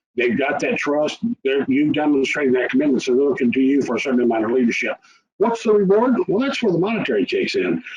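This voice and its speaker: Rattling along at a very fast pace, a man with a Texas accent speaks at a fairly high pitch with very wide pitch swings. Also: very even loudness. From rural Texas. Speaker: tax preparer. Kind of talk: webinar presentation.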